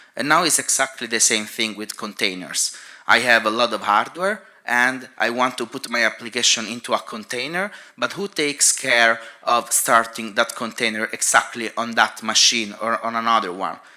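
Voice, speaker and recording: Speaking with a non-native accent, a man uses a medium pitch, ordinary pitch variation, a moderate pace, and a bright, sharp tone. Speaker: cloud infrastructure engineer. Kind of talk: conference talk.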